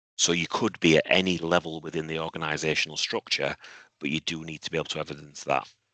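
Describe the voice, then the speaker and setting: A man with a very deep, low voice and a bright, sharp tone speaks very fast in a flat monotone. The sound is dry and close with no echo. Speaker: university head of department. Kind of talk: webinar Q&A answer. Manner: repetitive, halting; speaking quietly.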